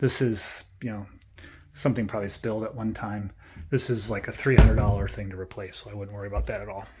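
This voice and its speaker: A man is speaking. Background noise can be clearly heard. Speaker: real estate agent giving a house tour. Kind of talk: casual walkthrough video tour. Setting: indoors walking through a house. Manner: casual, filler-heavy.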